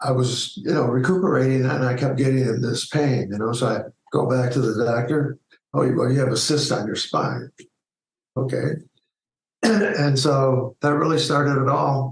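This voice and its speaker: A man speaks with vocal fry at a very even loudness. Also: medium pitch for a man, ordinary pitch variation, moderate pace. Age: 60s. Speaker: retired media executive. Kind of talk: interview. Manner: halting.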